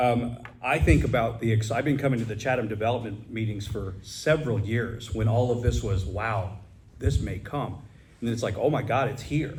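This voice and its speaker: With audible room echo, a man talks at a moderate pace in a somewhat breathy, medium-pitched voice with ordinary pitch variation. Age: 50s. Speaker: assisted living director and Navy reserve officer. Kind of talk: audience question at a public forum. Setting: business roundtable with audience.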